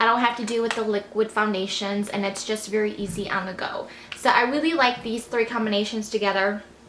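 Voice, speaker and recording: Over light background noise and audible room echo, a woman talks in a fairly high pitch with fairly even intonation. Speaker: beauty vlogger. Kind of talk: product review monologue. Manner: fast. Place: home room.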